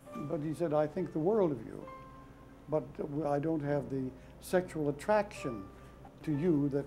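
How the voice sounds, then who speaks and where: Music plays in the background. The delivery has ordinary pitch variation and a moderate pace. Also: man. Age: 80s+. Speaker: performer, poet, mime, author. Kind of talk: interview answer.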